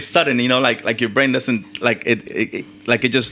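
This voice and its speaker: Here a man speaks in a bright, sharp tone. His intonation is fairly even. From Mexico, moved to California at 12. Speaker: tattoo artist. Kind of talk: interview conversation. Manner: halting, many repeated words.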